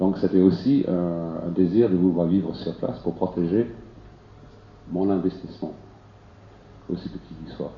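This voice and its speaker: At a fairly slow pace broken by long, frequent pauses, a man speaks in a very deep, low voice with ordinary pitch variation. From England. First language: English (speaking French). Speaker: participant living in a tipi. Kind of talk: public debate discussion.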